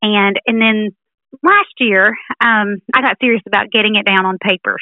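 Speaking at a moderate pace, a woman with a Southern US accent uses a fairly high pitch and fairly even intonation. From Alabama. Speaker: teacher and author. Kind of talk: radio interview, conversational. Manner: friendly, thoughtful, frequent filler words.

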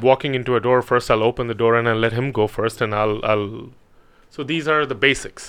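A man talks at a medium pitch. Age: 30s. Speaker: clinical hypnotherapist. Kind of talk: casual interview.

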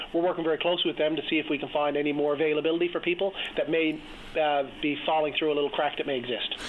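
There is noticeable background noise while a man with a Newfoundland accent talks at a very fast pace. His fairly high pitch stays in a monotone, flat intonation. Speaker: provincial politician. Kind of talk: political interview. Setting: phone call.

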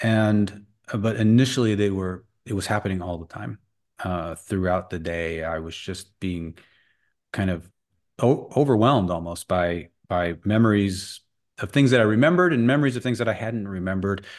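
Over a quiet background, a man with a fairly low pitch speaks at a moderate pace in a normal speaking voice with ordinary pitch variation. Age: 50s. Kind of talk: interview.

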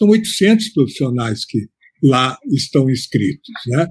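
A man's voice with very wide pitch swings. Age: 70s. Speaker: veteran journalist. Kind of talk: interview.

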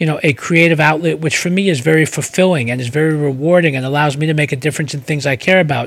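A man talks at a very fast pace with a New York accent. His pitch is fairly high. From New York City, the Bronx. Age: 40s. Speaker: PR firm CEO. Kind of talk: interview.

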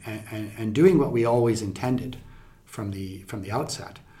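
A man at fairly low pitch, fairly quick and fairly even in intonation, with audible room echo. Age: 50s. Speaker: scientist. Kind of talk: interview.

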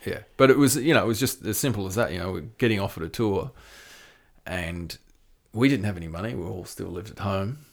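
A man's fairly low voice in an Australian accent, very fast with lively intonation. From Tasmania, Australia. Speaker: death metal drummer and touring company owner. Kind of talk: casual interview chat.

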